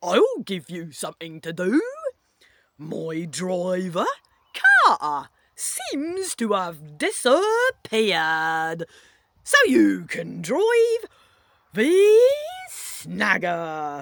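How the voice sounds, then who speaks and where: A female-sounding put-on character voice at a very slow pace, with long, frequent pauses. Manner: growling, shouting.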